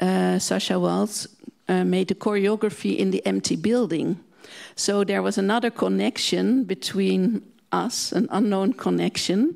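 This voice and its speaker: A woman speaks with a Dutch accent at very even loudness. The background is quiet. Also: fairly slow pace. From Netherlands. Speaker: museum director; guest. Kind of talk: panel discussion. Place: hall. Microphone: handheld.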